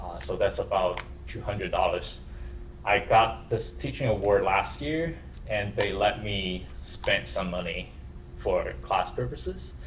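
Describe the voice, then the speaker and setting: A man with a non-native accent at a fairly slow pace, amid audible room echo. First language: not English. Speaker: university lecturer. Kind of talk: lecture. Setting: classroom with camera for online students. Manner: halting.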